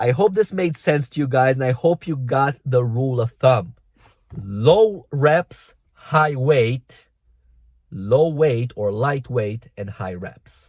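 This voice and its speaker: A man with a non-native accent speaks at a very slow pace in a medium pitch. His voice is somewhat breathy, with lively intonation. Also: very clean recording, silent background. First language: not English. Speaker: fitness coach. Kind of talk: vlog tutorial. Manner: casual, direct to camera.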